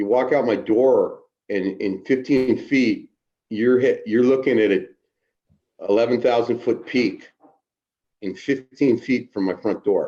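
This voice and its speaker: A man's fairly slow delivery, broken by long, frequent pauses. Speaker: recovering addict. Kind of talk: casual interview. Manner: halting, repetitive; unusual cadence.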